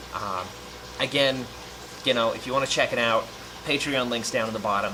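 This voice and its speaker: A man talks at a fairly quick pace with a medium pitch and fairly even intonation. Noticeable background noise is present. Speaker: aquarium YouTuber. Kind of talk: casual vlog update.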